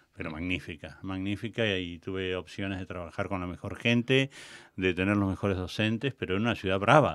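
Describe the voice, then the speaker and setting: This man has a very deep, low pitch and ordinary pitch variation. He speaks at a fairly quick pace. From Argentina, La Pampa. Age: 60s. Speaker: theatre director and cultural manager. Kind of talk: interview. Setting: studio.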